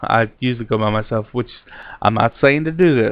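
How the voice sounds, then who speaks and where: This man has a medium-pitched voice and a fairly even intonation. He talks at a moderate pace. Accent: Kentucky. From Kentucky. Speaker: vlogger, amateur ghost hunter. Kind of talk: casual vlog talk to camera.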